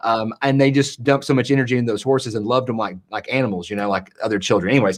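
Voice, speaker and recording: The speaker is a man with a Southern US accent. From US South, East Tennessee mountains. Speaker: entrepreneur, content creator. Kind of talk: casual interview chat.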